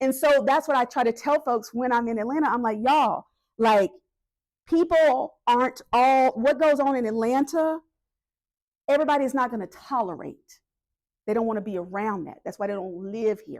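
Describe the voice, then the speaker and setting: The speaker has a Southern US accent, a moderate pace and ordinary pitch variation. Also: woman, high pitch for a woman. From US South, North Carolina. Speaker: political organizer. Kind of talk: community meeting talk.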